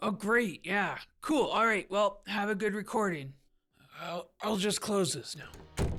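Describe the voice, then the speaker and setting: In a put-on character voice, a woman speaks with a raspy, medium-pitched sound at a fairly slow pace. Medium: cartoon. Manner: hesitant, filler-heavy, casual.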